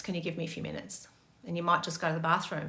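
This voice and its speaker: A woman speaks in a bright, sharp tone, with audible room echo around her. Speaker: meditation and relationship teacher. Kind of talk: Q&A talk. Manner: fast.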